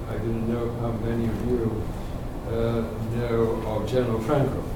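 A man talks amid audible room echo, with noticeable background noise throughout. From Spain. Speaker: professor. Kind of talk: lecture. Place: meeting room. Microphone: camera far.

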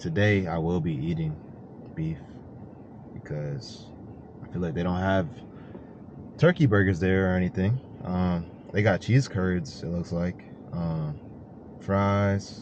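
Over noticeable background noise, a man with a very deep, low pitch speaks with long, frequent pauses in a dry sound with no echo. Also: ordinary pitch variation, fairly slow pace. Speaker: vlogger. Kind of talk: casual vlog chat. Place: car. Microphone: phone near.

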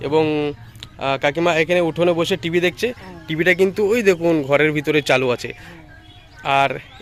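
There is noticeable background noise as a man talks with a high pitch and ordinary pitch variation. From India, Nadia district, West Bengal. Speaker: vlogger. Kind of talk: vlog narration.

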